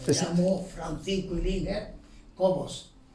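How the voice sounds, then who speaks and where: Very slow speech with audible room echo and music in the background. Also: man. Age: 70s. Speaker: retired factory worker. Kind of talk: life story interview. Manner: halting.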